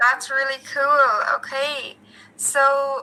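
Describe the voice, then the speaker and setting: Very slowly, a woman speaks in a high, bright, sharp voice that is raised and projected. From Ireland. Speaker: English tutor. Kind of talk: casual chat.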